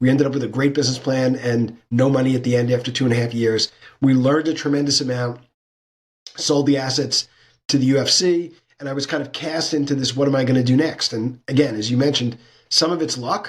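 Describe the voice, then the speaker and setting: Very fast pace from a man. His intonation stays fairly even. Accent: American. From New York, Brooklyn. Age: 60s. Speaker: sports business consultant and lecturer. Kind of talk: interview conversation.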